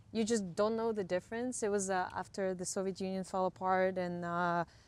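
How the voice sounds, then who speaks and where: The speaker has a Ukrainian accent, heard in a very clean recording with a silent background. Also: woman. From western Ukraine. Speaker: camera crew member in film industry. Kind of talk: casual interview. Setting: outdoors, walking. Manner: hesitant, many fillers.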